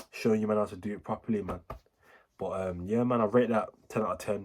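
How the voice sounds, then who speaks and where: A man with a Birmingham accent talks fairly quickly at a fairly low pitch. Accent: Birmingham (Brummie) English. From Birmingham, England. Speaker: music reaction YouTuber. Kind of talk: casual reaction commentary. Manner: animated.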